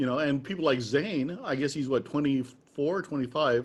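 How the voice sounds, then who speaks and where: A man with an American accent and an unremarkable speaking voice, fairly high in pitch, with ordinary pitch variation, at a moderate pace. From US Midwest. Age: 60s. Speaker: trad jazz musician and interviewer. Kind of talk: casual interview.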